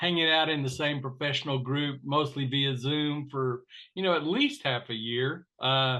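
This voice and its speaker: In a West Texas accent, a man speaks with a fairly high pitch and monotone, flat intonation. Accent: West Texas twang. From West Texas (Panhandle, Plainview). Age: 60s. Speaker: financial professional, former farmer and minister. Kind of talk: interview conversation.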